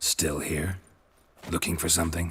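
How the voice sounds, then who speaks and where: A man talks at a moderate pace in a put-on character voice. His pitch is very deep and low, and the sound is raspy. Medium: video game. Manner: terse, dry, deadpan.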